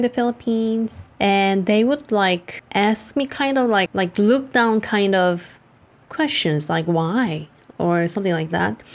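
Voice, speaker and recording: A woman at a medium pitch in a Korean accent, with lively intonation and a fairly slow pace. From South Korea. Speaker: vlogger. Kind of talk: casual vlog commentary.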